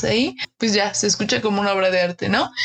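Woman with a Mexican accent and a medium pitch. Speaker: design podcast host. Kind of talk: casual chat.

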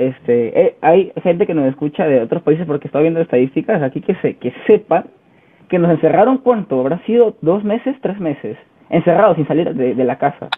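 His voice is high in pitch and lively in intonation. The man keeps up a fairly quick pace. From Chiclayo, northern coast of Peru. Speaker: podcast host, university student. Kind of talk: casual interview.

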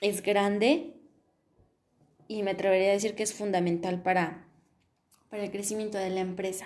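A woman's medium-pitched voice stays fairly even in intonation as she talks. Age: 20s. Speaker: logistics engineering student. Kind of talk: solo podcast monologue. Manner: hesitant, many fillers.

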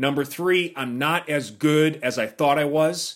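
This man has a fairly high pitch and talks at a fairly slow pace. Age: 40s. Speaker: fitness podcast host and former magazine fitness director. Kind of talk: solo podcast monologue. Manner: halting, many fillers and repeated words.

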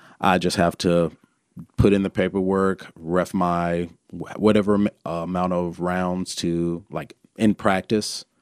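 In an Alabama accent, a man speaks at a fairly slow pace with a very deep, low pitch and monotone, flat intonation, the sound dry and close with no echo on a very clean recording with a silent background. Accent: Alabama Southern US. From Birmingham, Alabama. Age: 30s. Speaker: former pro MMA fighter and trainer. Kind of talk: casual chat.

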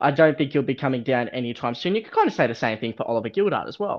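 Talking very fast with an Australian accent, a man makes very wide pitch swings. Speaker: podcast host. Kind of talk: casual chat.

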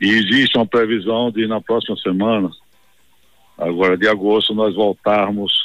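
The intonation is monotone and flat. Delivery moves at a moderate pace. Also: man. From Bahia, Brazil (Campo Formoso, then Salvador). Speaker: state politician. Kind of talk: broadcast interview.

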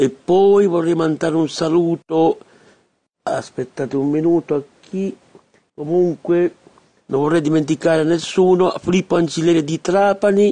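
A man's high-pitched, dark, mellow voice at a moderate pace, with fairly even intonation and long, frequent pauses. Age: 50s. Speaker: radio host. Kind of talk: radio monologue. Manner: halting.

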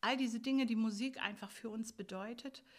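Fairly even intonation in a plain, everyday voice. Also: woman. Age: 60s. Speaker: music school teacher. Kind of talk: interview.

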